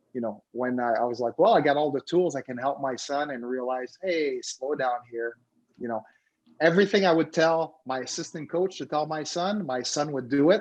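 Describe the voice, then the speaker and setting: In a Quebec accent, a man with a fairly high pitch speaks at a fairly quick pace with ordinary pitch variation. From Quebec, Montreal (French-speaking, Haitian parents). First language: French. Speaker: former hockey player and TV hockey analyst. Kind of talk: Q&A talk at a club meeting.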